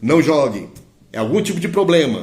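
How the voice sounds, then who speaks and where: Audible room echo surrounds a man whose fairly high voice carries vocal fry. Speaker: Candomblé priest and diviner. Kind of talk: live-stream teaching. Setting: live stream.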